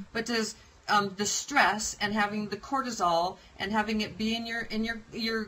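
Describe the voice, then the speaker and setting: Over noticeable background noise, a woman with an American accent speaks at a moderate pace and a medium pitch. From United States. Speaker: online show host. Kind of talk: casual interview. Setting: live video stream.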